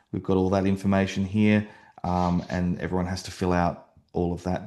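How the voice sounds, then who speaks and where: A man speaks with an Australian accent at a fairly low pitch. The background is quiet. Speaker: real estate agent and website builder. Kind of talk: software demo tutorial. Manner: fast; hesitant, many fillers.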